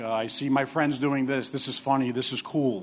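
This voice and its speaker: In a New York accent, a man talks at a medium pitch with fairly even intonation. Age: 40s. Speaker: assistant director of addiction recovery program. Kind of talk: testimony. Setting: stage with audience. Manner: halting.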